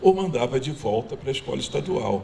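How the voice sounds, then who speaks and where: Speaking at a moderate pace, a man has an unremarkable speaking voice at medium pitch with lively intonation. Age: 60s. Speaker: community speaker. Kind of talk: panel talk.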